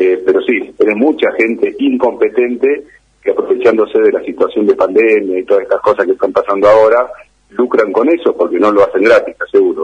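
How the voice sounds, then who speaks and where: With an Argentine accent, a man speaks at a fairly quick pace and very even loudness. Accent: Argentine Spanish (voseo). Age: 50s. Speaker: fitness trainer and bodybuilder. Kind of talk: interview.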